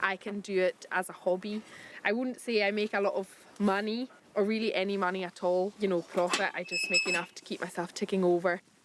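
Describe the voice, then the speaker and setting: Speaking at a fairly quick pace with a Hebridean accent, a woman keeps a monotone, flat intonation over noticeable background noise. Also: medium pitch for a woman. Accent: Hebridean Scottish. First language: Scottish Gaelic. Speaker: crofter. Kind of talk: documentary interview.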